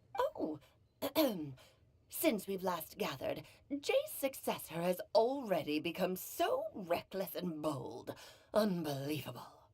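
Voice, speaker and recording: A put-on character voice, female-sounding and medium in pitch, at a fairly slow pace with long, frequent pauses. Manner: haughty, scolding.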